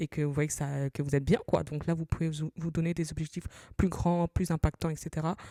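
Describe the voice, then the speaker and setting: A woman speaks at a very fast pace with a very deep, low pitch and a dark, mellow tone. The sound is dry and close with no echo, in a very clean recording with a silent background. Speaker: personal finance podcaster. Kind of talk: solo podcast advice talk. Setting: solo at a microphone. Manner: conversational, with hesitations.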